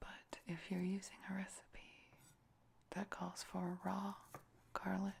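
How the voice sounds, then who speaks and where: In a whisper, the words come very slowly, broken by long pauses that occur often. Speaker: ASMR cooking video creator. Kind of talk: ASMR cooking demonstration, talking while cooking. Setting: home kitchen with cooking sounds. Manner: whispered and soft-spoken, slow and deliberate.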